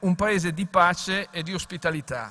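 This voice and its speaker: A man's raised, projected voice at a fairly slow pace, with ordinary pitch variation. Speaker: foreign minister. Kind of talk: formal welcome speech. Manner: formal.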